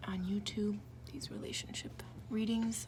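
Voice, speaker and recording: Moderate pace against noticeable background noise. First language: French. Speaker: tarot reader. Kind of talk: tarot reading video. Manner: casual, halting with fillers.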